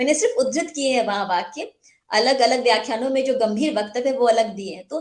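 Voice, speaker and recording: A woman speaks with a Bihar accent. Her pitch is high and her pace moderate. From India, Mithila region (Bihar). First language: Maithili (speaking Hindi). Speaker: writer and journalist. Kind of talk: interview. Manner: formal.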